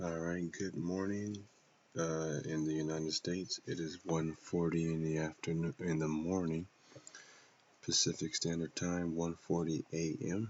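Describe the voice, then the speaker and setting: Soft-spoken and slowish, the voice stays monotone and flat throughout. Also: man, very deep, low pitch for a man. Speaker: trader. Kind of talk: tutorial. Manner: halting.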